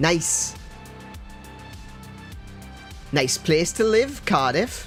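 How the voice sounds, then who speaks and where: A man with a Welsh accent speaks with lively intonation. Music plays in the background. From Wales. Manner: restrained, toned down.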